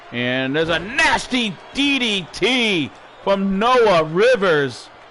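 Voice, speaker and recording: Raising and projecting his high-pitched voice, a man speaks very slowly with very wide pitch swings against noticeable background noise. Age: 60s. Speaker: wrestling commentator. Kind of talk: live play-by-play commentary. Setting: home studio. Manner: animated.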